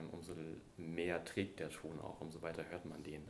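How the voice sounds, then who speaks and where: A man's voice carries audible room echo. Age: 30s. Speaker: archaeologist and wilderness educator. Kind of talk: interview conversation.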